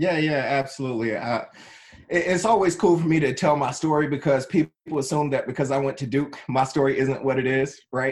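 Using an unremarkable speaking voice, a man with a fairly high pitch talks at a fairly quick pace with ordinary pitch variation. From North Carolina (Wilson), born in Trenton, New Jersey. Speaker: tech executive. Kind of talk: interview.

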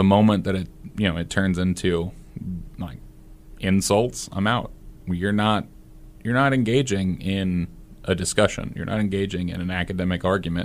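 A man with a Midwestern American accent and a very deep, low pitch speaks at a moderate pace with fairly even intonation. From Nebraska, US Midwest. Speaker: debate coach. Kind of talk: casual chat.

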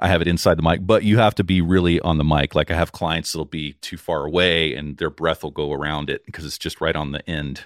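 A man with a booming, very deep voice speaks fairly quickly with fairly even intonation and hardly any pauses. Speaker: audio engineer and podcast producer. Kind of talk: casual interview. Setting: live audio-room recording.

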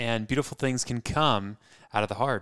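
Heard on a very clean recording, silent background, a man with an American accent has an ordinary speaking voice at a medium pitch with ordinary pitch variation. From California (San Francisco Bay Area). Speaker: podcast co-host. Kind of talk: casual chat.

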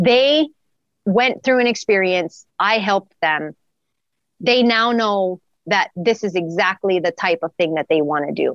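A woman with an American accent speaks at a fairly slow pace in an unremarkable speaking voice. Her medium pitch moves with lively intonation. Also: dry, close sound with no echo. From Wyoming, US. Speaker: athletic trainer. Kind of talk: casual interview.

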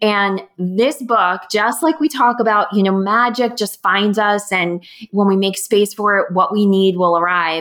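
A woman's plain, everyday voice at medium pitch, fairly slow and with hardly any pauses, ordinary pitch variation, and very even loudness. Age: 40s. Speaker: podcast host. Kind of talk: casual interview chat. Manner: excited, warm.

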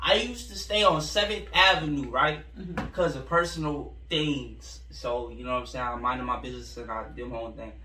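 Over noticeable background noise, a man talks at a fairly quick pace with hardly any pauses and big swings in loudness. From Central Florida. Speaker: rapper. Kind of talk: casual interview.

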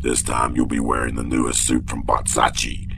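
A man talks in a put-on character voice at a moderate pace. Loud background noise sits behind him. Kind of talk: Hollywood schmoozer. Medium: audio drama. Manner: showbiz schmoozing, fast.

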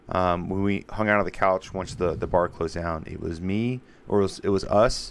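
Loud and very deep, a man's voice sits at a very low pitch. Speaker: podcast host. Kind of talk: casual chat. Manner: aggressive in conversation.

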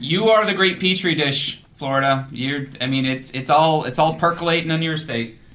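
At a moderate pace with hardly any pauses, a fairly high-voiced man talks with ordinary pitch variation over noticeable background noise. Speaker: comedian guest. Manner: loud.

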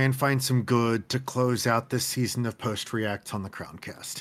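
At a fairly slow pace, a man speaks in a normal speaking voice with a medium pitch. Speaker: co-host soccer analyst. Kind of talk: casual post-match discussion.

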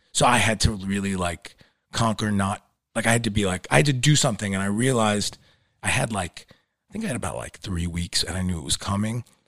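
Talking at a very fast pace with a New York accent, a man uses a fairly low pitch and ordinary pitch variation, the sound dry and close with no echo in a very clean recording with a silent background. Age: 40s. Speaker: actor. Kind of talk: casual chat. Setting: studio.

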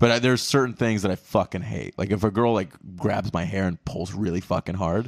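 Dry and close with no echo, an unremarkable speaking voice from a man with an American accent comes at a fairly low pitch and a fairly quick pace, with ordinary pitch variation. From North Carolina, Raleigh. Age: 20s. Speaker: stand-up comedian and podcaster. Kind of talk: casual podcast interview.

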